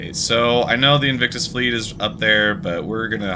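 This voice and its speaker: Over noticeable background noise and audible room echo, a man with an American accent speaks at medium pitch and a moderate pace. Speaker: video game streamer. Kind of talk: live gameplay commentary. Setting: live stream. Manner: casual, with frequent fillers and restarts.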